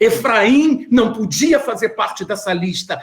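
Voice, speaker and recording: Lively intonation marks this man's fairly slow delivery. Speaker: bible teacher. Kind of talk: lecture.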